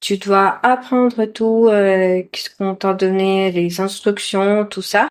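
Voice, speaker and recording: A woman at medium pitch, speaking at a very slow pace, on a very clean recording with a silent background. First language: not French, learner of French (speaking French). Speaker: vocational trainee. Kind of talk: interview. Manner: halting, many hesitations.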